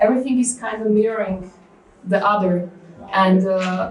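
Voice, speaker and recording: A woman with a Slovak accent speaks at a fairly slow pace with a medium pitch and fairly even intonation. Audible room echo and noticeable background noise surround her voice. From Slovakia. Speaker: cognitive scientist. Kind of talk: conference lecture. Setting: stage with audience. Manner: hesitant, many fillers.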